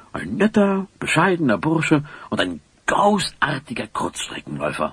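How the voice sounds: Using a put-on character voice, a man speaks at a moderate pace with a fairly high pitch, very wide pitch swings, a fairly bright tone and a husky, rough edge.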